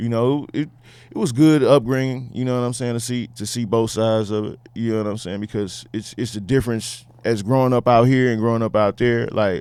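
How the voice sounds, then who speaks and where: Speaking with a Houston accent, a man keeps a fairly quick pace. His intonation stays fairly even. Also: medium pitch for a man. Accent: Southern US, Houston. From Houston, Texas. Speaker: rapper. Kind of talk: casual chat.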